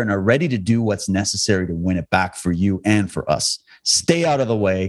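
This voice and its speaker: A man with a western Canadian accent speaks in an animated tone. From Canada, Alberta. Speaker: documentary filmmaker and activist. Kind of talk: interview conversation.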